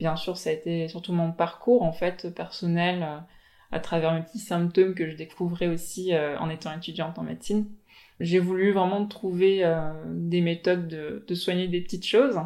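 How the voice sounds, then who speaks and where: Her fairly low voice has a dark, mellow tone, and this woman keeps a moderate pace with fairly even intonation. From Tahiti. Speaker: general practitioner. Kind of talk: interview.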